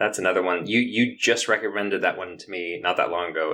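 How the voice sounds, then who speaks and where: A man speaking at a very fast pace. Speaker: podcast guest. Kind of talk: casual chat.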